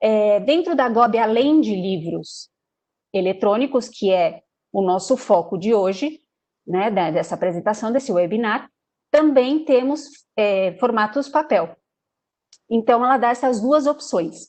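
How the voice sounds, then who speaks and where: Using lively intonation, a woman speaks at a fairly slow pace in a fairly high pitch, with long, frequent pauses. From Brazil, São Paulo. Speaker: sales representative. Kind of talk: webinar presentation. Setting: online webinar. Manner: hesitant, many fillers.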